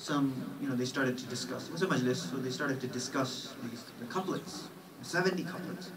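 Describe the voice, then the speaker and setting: Speaking at a fairly quick pace, a man uses lively intonation at a medium pitch. Room echo and background noise are both noticeable. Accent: American. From New York. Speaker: Islamic scholar. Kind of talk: lecture. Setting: mosque.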